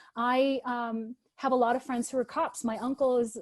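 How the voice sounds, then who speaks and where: A woman speaks with a high pitch. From Latin America. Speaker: roundtable moderator. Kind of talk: virtual roundtable discussion. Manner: halting, many fillers and restarts.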